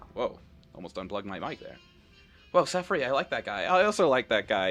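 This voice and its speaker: With music in the background, a man's voice swings very widely in pitch as he talks fairly quickly. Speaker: streamer. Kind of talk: casual gameplay commentary.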